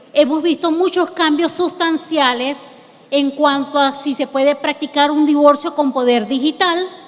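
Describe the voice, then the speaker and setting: With noticeable background noise, a woman speaks slowly-ish at a high pitch, keeping her intonation fairly even. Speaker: lawyer. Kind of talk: lecture.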